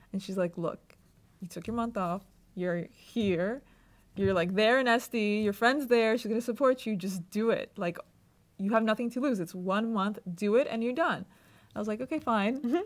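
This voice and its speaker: This is a woman with a fairly high pitch. Her pitch varies in an ordinary way. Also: moderate pace. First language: not English. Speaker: law student. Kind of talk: interview answer. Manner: casual, conversational.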